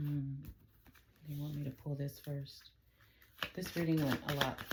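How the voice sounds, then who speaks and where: Speaking softly at a fairly slow pace, the voice comes through over noticeable background noise. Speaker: tarot reader. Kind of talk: tarot reading. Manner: soft-spoken.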